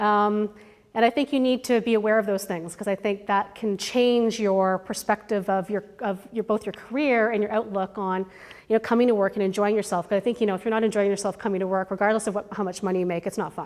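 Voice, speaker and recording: A woman speaks very fast with a Canadian accent. Her pitch is medium and her intonation fairly even. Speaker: marketing executive giving career talk. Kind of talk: guest lecture to students.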